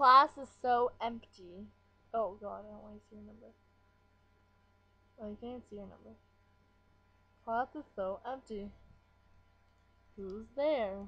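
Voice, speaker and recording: A woman speaks at a fairly slow pace in a bright, sharp, fairly high voice, mumbling, with ordinary pitch variation, big swings in loudness, and long, frequent pauses. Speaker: vlogger. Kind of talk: casual vlog talk to camera. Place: home room. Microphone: webcam.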